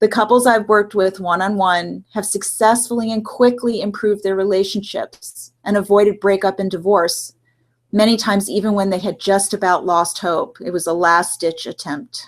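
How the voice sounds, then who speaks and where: The speaker talks at a moderate pace in a plain, everyday voice. Pitch varies in an ordinary way. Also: woman, medium pitch for a woman. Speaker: relationship coach and clinical social worker. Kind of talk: webinar presentation. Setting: online live webinar with screen share.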